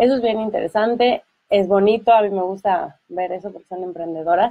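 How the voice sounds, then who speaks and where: A plain, everyday voice from a woman at medium pitch, fairly quick in pace, with ordinary pitch variation. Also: big swings in loudness. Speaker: radio host. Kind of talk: radio talk show interview. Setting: radio studio.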